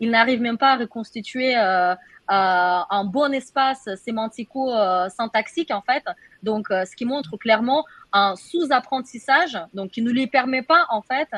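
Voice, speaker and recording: A woman speaks fairly slowly with a Russian accent and lively intonation. Her fairly high voice sounds dry and close, with no echo. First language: Russian (speaking French). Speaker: AI researcher. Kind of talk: webinar panel discussion. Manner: halting, many hesitations.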